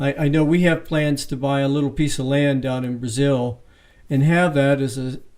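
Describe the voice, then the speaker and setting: A man with a fairly high pitch and an unremarkable speaking voice, at a moderate pace. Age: 60s. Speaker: interviewer. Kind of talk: interview.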